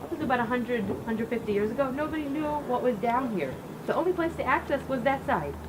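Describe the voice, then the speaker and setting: A woman with an American accent and a high pitch talks at a very fast pace, with audible room echo and noticeable background noise. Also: ordinary pitch variation. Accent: American accent, noticeable to Israelis. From US Midwest (Cleveland, Ohio). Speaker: rabbi. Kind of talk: guided tour talk at a ceremony.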